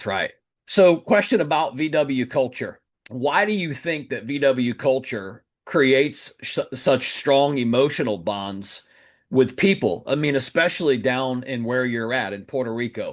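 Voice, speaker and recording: A man with an American accent speaks in a normal speaking voice at a medium pitch and a fairly slow pace. His intonation is lively, and the background is quiet. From Florida. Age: 40s. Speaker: podcast host. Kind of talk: interview. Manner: casual.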